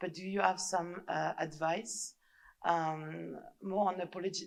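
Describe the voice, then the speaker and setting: A woman with vocal fry speaks at a fairly slow pace and fairly low pitch, with fairly even intonation. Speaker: audience member. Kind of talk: audience question. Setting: lecture hall with audience. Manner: halting, many fillers.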